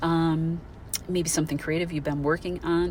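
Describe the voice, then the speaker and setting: A woman's very deep, low voice at a fairly quick pace, fairly even intonation, and noticeable background noise. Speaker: astrologer. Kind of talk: monologue. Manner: fast.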